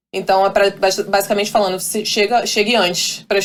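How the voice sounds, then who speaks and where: A woman at a fairly quick pace, in a monotone, flat intonation. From Brazil. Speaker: professional volleyball player. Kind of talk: interview. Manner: halting.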